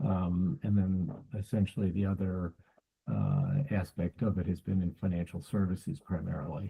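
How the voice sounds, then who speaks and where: Somewhat breathy, dark and mellow speech with an American accent, lively intonation and very even loudness. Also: man, very deep, low pitch for a man, moderate pace. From United States. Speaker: cyber security consultant. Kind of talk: interview. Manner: halting, many fillers.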